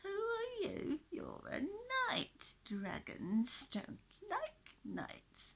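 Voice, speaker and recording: This put-on character voice is extremely high and hissing, delivered at a very slow pace. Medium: read story.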